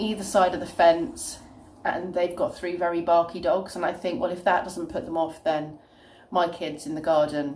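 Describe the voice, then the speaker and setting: A woman with a British accent, a fairly low pitch and a moderate pace. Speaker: childminder and vlogger. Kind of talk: casual talk to camera.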